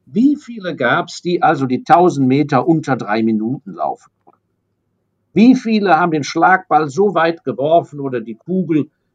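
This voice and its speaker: A normal speaking voice with lively intonation, big swings in loudness, a moderate pace, and a dry, close sound with no echo. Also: man. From Germany, raised abroad (London, Hong Kong, Paris). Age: 60s. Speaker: investor. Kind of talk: interview.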